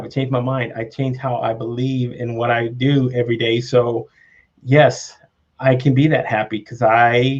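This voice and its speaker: A man's somewhat breathy, medium-pitched voice at a moderate pace, with monotone, flat intonation. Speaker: live show host. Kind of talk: casual conversational interview talk.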